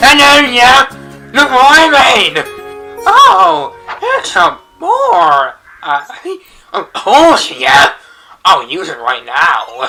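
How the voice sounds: A cartoonish character voice moves at a very slow pace with long, frequent pauses, and faint music plays in the background.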